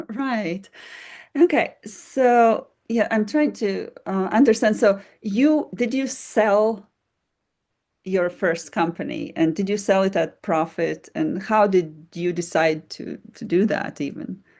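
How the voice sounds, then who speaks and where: A woman with a non-native accent speaks very slowly with lively intonation. The recording is very clean, with a silent background. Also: medium pitch for a woman. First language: not English. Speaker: podcast host. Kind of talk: interview.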